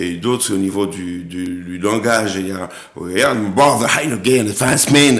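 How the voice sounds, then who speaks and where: Music plays in the background and the room echo is audible as a man with a fairly low pitch speaks at a fairly slow pace with ordinary pitch variation. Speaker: actor and director. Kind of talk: TV interview. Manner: hesitant, many repetitions.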